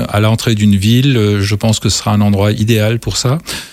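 In a plain, everyday voice, a man of medium pitch speaks with fairly even intonation on a very clean recording with a silent background. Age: 60s. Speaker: mayor and election candidate. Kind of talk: political debate.

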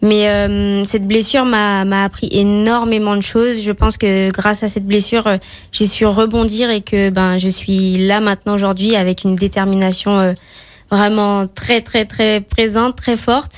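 A woman speaks at a fairly slow pace in a medium pitch. Her intonation is monotone and flat, and her loudness stays very even. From Martinique. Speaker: gymnast. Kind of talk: radio interview. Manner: hesitant.

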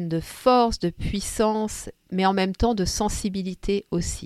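A woman speaks at a very slow pace with medium pitch. The sound is dry and close, without echo. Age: 50s. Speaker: podcast host and storyteller. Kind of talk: personal storytelling. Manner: warm, gentle.

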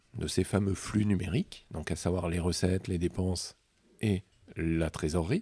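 A man speaks with a dark, mellow tone. The sound is dry and close with no echo, in a very clean recording with a silent background. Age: 40s. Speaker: chartered accountant and entrepreneur. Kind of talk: interview. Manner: hesitant, many fillers.

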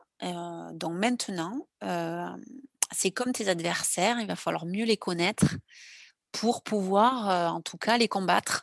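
A woman speaks at a fairly slow pace with ordinary pitch variation. The sound is dry and close, with no echo. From southwestern France, Landes. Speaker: lifeguard athlete and ocean rower. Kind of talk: interview testimony. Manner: halting.

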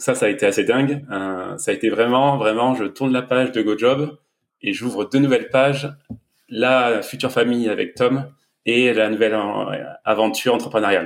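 A plain, everyday voice from a man, medium in pitch, moderate in pace, with fairly even intonation. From southern France, Var. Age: 30s. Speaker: entrepreneur and new father. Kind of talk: casual interview.

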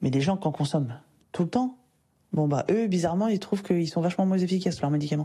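A woman speaks very fast in a somewhat breathy voice with a dark, mellow tone. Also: fairly low pitch for a woman, ordinary pitch variation. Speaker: personal development coach and podcast host. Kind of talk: solo podcast monologue, advice talk. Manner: casual, conversational with fillers.

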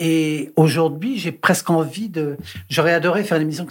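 On a very clean recording with a silent background, a man speaks at a moderate pace in a fairly high, somewhat breathy voice with ordinary pitch variation. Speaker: impressionist. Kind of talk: casual chat. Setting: studio. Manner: halting.

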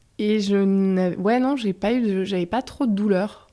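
Speaking with fairly even intonation at a medium pitch, a woman has a dark, mellow tone. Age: 30s. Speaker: physiotherapist. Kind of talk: testimony. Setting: home apartment.

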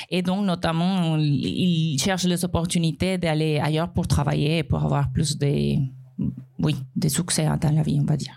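In a Spanish accent, a woman with a very deep, low pitch speaks at a fairly slow pace with fairly even intonation and very even loudness, against noticeable background noise. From Colombia. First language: Spanish (speaking French). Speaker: restaurant owner and tech employee. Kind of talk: live podcast panel testimony. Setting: live recording before an audience.

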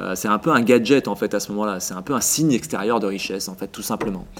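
Speaking at a very fast pace, a man talks. His pitch varies in an ordinary way. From southern France, Vaucluse near Avignon. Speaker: essayist and local politician. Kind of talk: interview.

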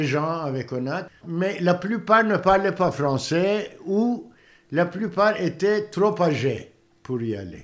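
With a Turkish accent, a man talks at a very slow pace in a high pitch, showing ordinary pitch variation. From Turkey, Istanbul. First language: Turkish (speaking French). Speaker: theatre director. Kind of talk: interview. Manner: halting.

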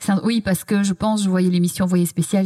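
A woman's dark, mellow, somewhat breathy tone, dry and close with no echo. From Belgium. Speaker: TV culture journalist and author. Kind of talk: interview conversation. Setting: physio practice room.

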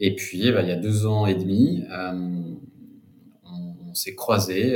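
This man's voice is very deep and low in pitch. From France, Cognac area. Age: 40s. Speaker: wine entrepreneur. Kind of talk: interview. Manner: halting, many repetitions.

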